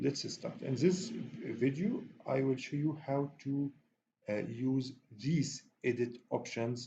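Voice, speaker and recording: At a very slow pace with long, frequent pauses, a man speaks in a medium pitch with a dark, mellow, somewhat breathy tone and ordinary pitch variation. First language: not English. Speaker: software tutorial instructor. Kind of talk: tutorial. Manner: halting, many fillers.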